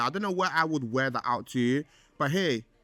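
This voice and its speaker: Over background music, a man with a London accent talks in an animated tone at a moderate pace. His pitch sits fairly high and his intonation is lively. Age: 20s. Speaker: podcast host. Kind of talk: casual chat.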